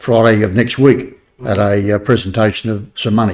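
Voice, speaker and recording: A man with an Australian accent, medium pitch, fairly even intonation and a moderate pace. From New South Wales, Australia. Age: 70s. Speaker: army veteran. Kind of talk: casual interview. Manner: hesitant with many fillers.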